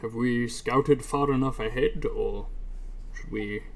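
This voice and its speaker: A man delivers his words fairly slowly in a put-on character voice. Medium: actual play. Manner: brief, proper.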